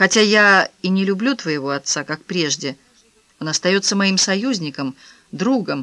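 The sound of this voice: A reading voice, unforced.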